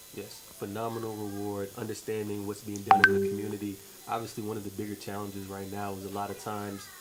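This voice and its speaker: With audible room echo and noticeable background noise, a man with an American accent and a fairly low pitch talks at a very fast pace in a monotone, flat intonation. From New York, US. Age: 20s. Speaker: charity founder. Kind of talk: radio interview.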